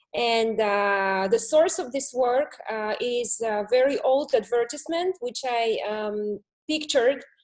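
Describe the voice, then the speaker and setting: A woman with a Russian accent speaks at a high pitch and a very slow pace. She uses ordinary pitch variation and hardly any pauses. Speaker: art student presenting work. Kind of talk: artwork presentation.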